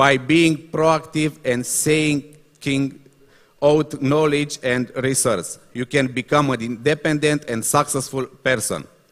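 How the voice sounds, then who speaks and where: A man with a Romanian accent, fairly high in pitch, with fairly even intonation and a very slow pace. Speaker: motivational speaker. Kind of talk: reading aloud. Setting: stage with audience. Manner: halting.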